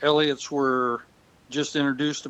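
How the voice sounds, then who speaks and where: A man speaks with an Upper Midwest accent. His pitch is fairly high and his pace moderate. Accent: Upper Midwest American. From West Michigan, US. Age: 70s. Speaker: retired farmer. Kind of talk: interview. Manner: halting.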